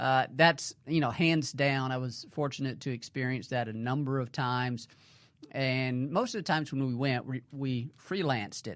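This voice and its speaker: A man with an American accent and a normal speaking voice talks at a moderate pace with fairly even intonation. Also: medium pitch for a man. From US South, north central Mississippi. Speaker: waterfowl conservation biologist. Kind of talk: casual interview.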